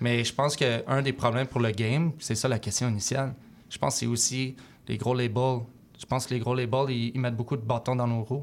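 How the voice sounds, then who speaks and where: Someone with a Quebec accent speaks fairly quickly in a monotone, flat intonation on a very clean recording with a silent background. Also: man, medium pitch for a man. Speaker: rapper. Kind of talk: interview. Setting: studio. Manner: mixes English phrases.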